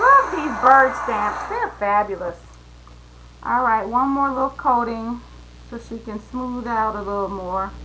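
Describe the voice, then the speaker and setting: A woman speaks fairly slowly in a fairly high pitch, with ordinary pitch variation and big swings in loudness. Audible room echo and noticeable background noise surround her. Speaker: mixed-media artist. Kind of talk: live art tutorial. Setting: home studio, live stream. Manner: soft-spoken.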